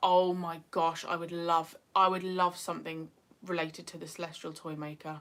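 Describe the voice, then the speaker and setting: A woman speaks in a northeast English accent. Her pitch is medium. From northeast England. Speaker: YouTuber. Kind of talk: livestream chat. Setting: livestream.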